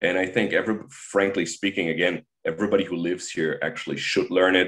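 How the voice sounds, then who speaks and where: Speaking at a fairly quick pace is a man. He has a German accent. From Germany. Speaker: high school teacher. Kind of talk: interview. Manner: halting.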